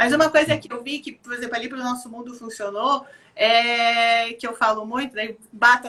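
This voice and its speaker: A woman's bright, sharp tone, fairly high in pitch, at a moderate pace. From Rio Grande do Sul, southern Brazil. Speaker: children's activity program organizer. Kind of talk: live video chat interview. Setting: online live stream.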